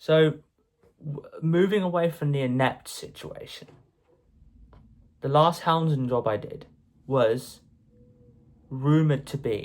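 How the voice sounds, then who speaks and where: A man with an English accent speaks at a very slow pace with long, frequent pauses. His pitch varies in an ordinary way. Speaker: YouTuber. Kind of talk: casual monologue vlog. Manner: halting.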